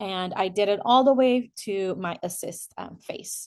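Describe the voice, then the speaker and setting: The background is quiet. Pitch varies in an ordinary way. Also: woman. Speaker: student midwife. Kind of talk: screen-share tutorial walkthrough. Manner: slow.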